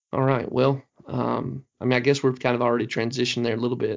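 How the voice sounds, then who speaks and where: A man's very fast, monotone, flat delivery in a Southern US accent at medium pitch. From US Deep South. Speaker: podcast host. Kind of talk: casual discussion, movie review.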